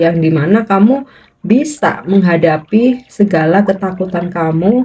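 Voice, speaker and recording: At a very slow pace, a woman speaks at medium pitch in a dark, mellow tone that is somewhat breathy. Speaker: tarot reader. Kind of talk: tarot reading monologue. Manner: slow, unhurried.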